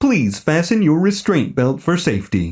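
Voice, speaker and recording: Using a put-on, robotic character voice, a man speaks at a moderate pace with a fairly high pitch and very wide pitch swings. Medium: read story. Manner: cheery, mechanical.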